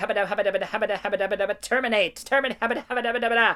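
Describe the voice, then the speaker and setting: In a robotic, put-on character voice, a female-sounding speaker talks at a very fast pace and a fairly high pitch. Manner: stuttering, repetitive.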